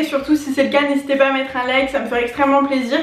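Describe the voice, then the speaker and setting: Amid noticeable background noise and audible room echo, a woman speaks at a very fast pace and a high pitch. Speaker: beauty YouTuber. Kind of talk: casual vlog talk to camera.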